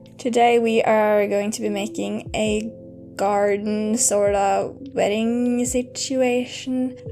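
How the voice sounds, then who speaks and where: Over background music, a woman talks at a very slow pace. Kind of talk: casual gameplay commentary.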